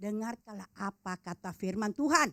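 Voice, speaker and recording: In a dry, close sound with no echo, a woman's speech carries lively intonation. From Makassar, Sulawesi, Indonesia. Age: 70s. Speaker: preacher. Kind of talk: sermon.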